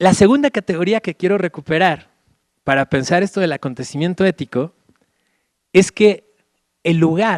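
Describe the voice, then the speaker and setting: His high voice full of lively intonation, a man speaks with long, frequent pauses in a dry, close sound with no echo. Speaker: Jesuit philosophy professor. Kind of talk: lecture. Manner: fast.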